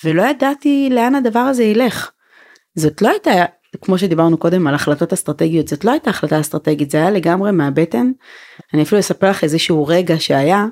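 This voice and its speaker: A woman at a fairly quick pace with very wide pitch swings, in a dry, close sound with no echo. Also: medium pitch for a woman. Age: 40s. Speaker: women's organization founder and spokesperson. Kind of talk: casual chat.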